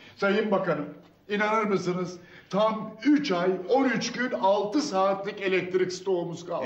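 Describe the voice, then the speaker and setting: A man with a high-pitched voice and ordinary pitch variation speaks at a fairly slow pace, with audible room echo. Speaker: actor playing an official reporting to a minister. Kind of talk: scripted comedy dialogue. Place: office.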